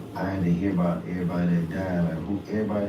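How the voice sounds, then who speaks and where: Words come at a very fast pace with fairly even intonation, and the room echo is audible. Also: man. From US South, South Carolina. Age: 30s. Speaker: podcast guest. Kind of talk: casual interview chat.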